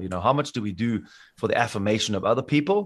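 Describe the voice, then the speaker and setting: With a South African accent, a man speaks at a very fast pace. His pitch variation is ordinary and the background quiet. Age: 40s. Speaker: school teacher and triathlete. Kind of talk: casual interview chat. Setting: remote call.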